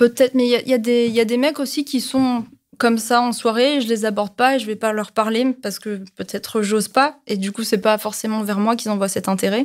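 Using a plain, everyday voice, this woman keeps her fairly high pitch on fairly even intonation. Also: fairly quick pace. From Toulon, southern France. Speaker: podcast guest. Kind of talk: casual chat.

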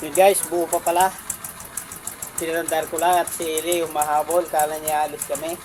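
Over noticeable background noise, a man talks at a moderate pace. His fairly high voice stays monotone and flat. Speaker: vlogger. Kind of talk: casual vlog.

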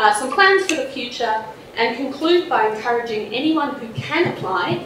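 Amid audible room echo, a woman speaks fairly slowly with lively intonation, a fairly high pitch and a fairly bright tone.

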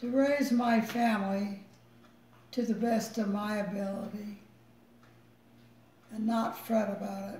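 Monotone, flat delivery at a fairly slow pace, long, frequent pauses and audible room echo. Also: woman, fairly high pitch for a woman. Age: 80s+. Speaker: mother and great-great-grandmother. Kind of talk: interview answer. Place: home room. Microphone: phone near.

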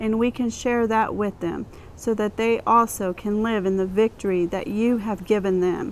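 Over light background noise, a woman with a fairly high pitch talks at a moderate pace in a fairly even intonation. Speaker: prayer leader. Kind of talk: fervent prayer. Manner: earnest, imploring; bold, rhythmic with repeated invocations. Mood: earnest, calm. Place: garden. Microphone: lapel.

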